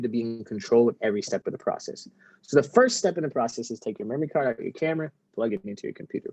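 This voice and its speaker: The sound is dry and close, without any echo. A man delivers his words very fast. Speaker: photography instructor. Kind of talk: lecture.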